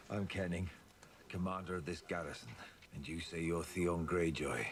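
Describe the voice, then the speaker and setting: Over clear background noise, a man does a put-on character voice that is raspy and very deep, speaking at a moderate pace with monotone, flat intonation. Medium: short film. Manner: gruff, contemptuous.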